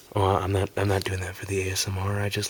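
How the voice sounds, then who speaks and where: Noticeable background noise sits behind this recording. A man talks at a fairly quick pace in a fairly low pitch. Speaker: ASMR content creator. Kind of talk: ASMR whispered video game collection review. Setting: amateur home recording. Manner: whispered, soft.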